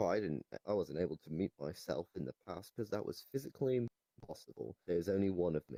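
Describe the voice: Using a put-on character voice, a man speaks low, with a dark, mellow tone, vocal fry and lively intonation at a fairly quick pace, in a dry, close sound with no echo.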